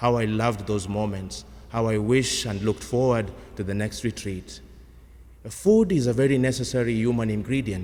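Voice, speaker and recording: With audible room echo, a man speaks at medium pitch and a moderate pace, his tone dark and mellow and his pitch variation ordinary. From Kenya. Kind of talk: sermon.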